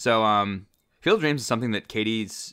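A man with an American accent at a very fast pace, medium in pitch, bright and sharp in tone, with ordinary pitch variation. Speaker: podcast co-host. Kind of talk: casual chat.

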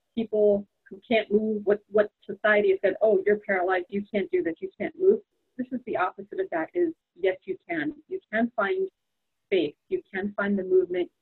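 This woman has an unremarkable speaking voice, pitched fairly high. She speaks at a moderate pace with lively intonation. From New York. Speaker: psychotherapist. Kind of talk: interview conversation.

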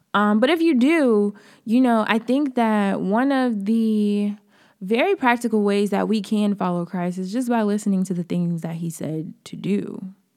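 In a very clean recording with a silent background, a woman with an American accent uses an ordinary speaking voice at a moderate pace with ordinary pitch variation. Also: medium pitch for a woman. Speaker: podcast host. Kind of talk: pep talk. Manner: warm, encouraging; casual, chatty.

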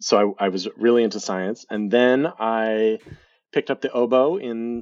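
A man speaks with an American accent at a medium pitch. His pitch variation is ordinary. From US Midwest (Lincoln, Nebraska). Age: 30s. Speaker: professional puppeteer. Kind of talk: casual interview.

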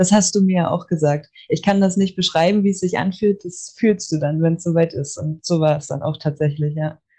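With hardly any pauses, a woman speaks at a moderate pace in a fairly low, somewhat breathy voice of dark, mellow tone and fairly even intonation. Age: 20s. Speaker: medical assistant and Reiki student. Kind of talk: casual interview. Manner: hesitant, many fillers.

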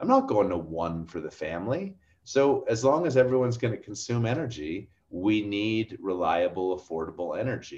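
A plain, everyday voice from a man, fairly low in pitch, at a moderate pace with lively intonation. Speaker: oil and gas industry commentator. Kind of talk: casual interview chat.

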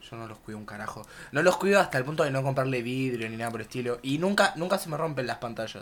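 A man's very fast, lively delivery at a medium pitch, with big swings in loudness. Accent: Rioplatense. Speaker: podcast co-host. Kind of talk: casual chat.

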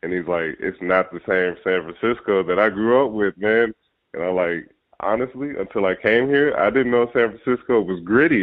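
In a normal speaking voice with an American accent, the speaker keeps a moderate pace and ordinary pitch variation. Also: man, fairly low pitch for a man. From Ohio, Cincinnati. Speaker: podcast host. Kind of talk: casual chat.

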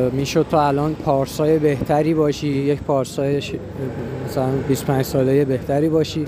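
Noticeable background noise sits behind a man talking at a moderate pace. His pitch is fairly high and his intonation flat and monotone. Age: 20s. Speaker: podcaster. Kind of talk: personal monologue. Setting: outdoors on a street. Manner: halting. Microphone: muffled through face mask.

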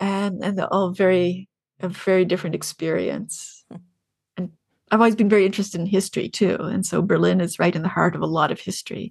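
A woman speaks with a Canadian accent and vocal fry against a quiet background. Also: medium pitch for a woman, fairly quick pace. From Canada, Ontario (near Kingston). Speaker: fantasy author. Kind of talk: interview conversation. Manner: halting, many fillers and repetitions.

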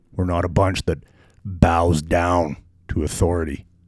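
A man with a very deep, low pitch speaks somewhat breathily at a fairly slow pace. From Western Canada. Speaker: podcast host. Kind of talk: podcast intro and commentary.

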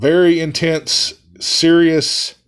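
A man speaks loudly at a fairly high pitch. The background is quiet. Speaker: podcast host and musician. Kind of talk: casual monologue. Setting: studio with headphones.

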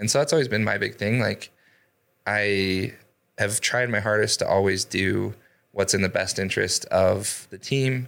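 Speaking with a normal speaking voice at a moderate pace, a man uses a fairly low pitch, ordinary pitch variation, and very even loudness on a very clean recording with a silent background. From Idaho. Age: 30s. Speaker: door-to-door sales leader and real estate investor. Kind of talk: interview.

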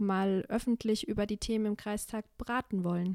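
Her tone dark and mellow, a woman talks with fairly even intonation. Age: 20s. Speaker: local councillor. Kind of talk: casual chat.

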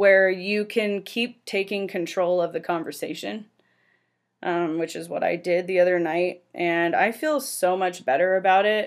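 A woman with a Californian accent at a fairly slow pace, in a very clean recording with a silent background. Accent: Californian American English. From San Francisco Bay Area. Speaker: podcast host, financial planner. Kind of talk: casual monologue.

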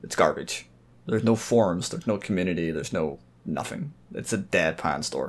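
With a normal speaking voice, a man talks at a fairly quick pace, his pitch fairly low and his intonation lively. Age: 20s. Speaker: podcast guest. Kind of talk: casual chat.

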